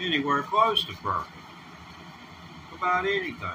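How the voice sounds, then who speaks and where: Over noticeable background noise, a man with a Southern US accent talks at a moderate pace. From US South. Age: 60s. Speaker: livestreamer. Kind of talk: casual livestream talk. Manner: halting.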